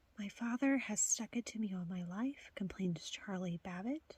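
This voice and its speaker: Soft-spoken and somewhat breathy, a woman speaks at a moderate pace in a medium pitch. The sound is dry and close, with no echo. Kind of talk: ASMR reading of video tape back covers.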